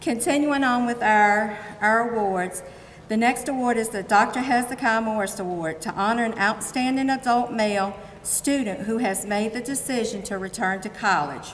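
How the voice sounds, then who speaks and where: Against noticeable background noise and audible room echo, a woman speaks with a fairly high pitch. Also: ordinary pitch variation, moderate pace. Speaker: awards presenter. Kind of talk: award ceremony speech. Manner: loud.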